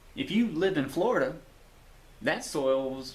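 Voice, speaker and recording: In a Southern US accent, a man speaks very slowly with very wide pitch swings, over audible room echo. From US South. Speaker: YouTuber. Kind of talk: video monologue.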